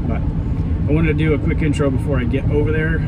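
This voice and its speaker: Through loud background noise, a man talks at a fairly quick pace in a dry sound with no echo. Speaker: boat buyer vlogger. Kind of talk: casual vlog chat. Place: car. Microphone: phone near.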